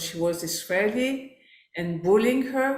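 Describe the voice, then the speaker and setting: The speech moves at a very slow pace with lively intonation and a French accent. Room echo is audible. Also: woman. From France. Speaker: life coach. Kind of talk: workshop presentation. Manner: halting, with fillers.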